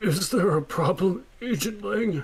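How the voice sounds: Someone speaks in a put-on character voice at a middle pitch and a moderate pace. Clear background noise runs behind it.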